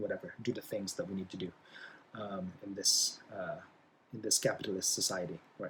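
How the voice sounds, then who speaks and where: The speaker talks at a moderate pace in a Philippine accent, sounding somewhat breathy. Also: man. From Philippines. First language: Bisaya. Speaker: college English instructor. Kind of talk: lecture. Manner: halting, many fillers.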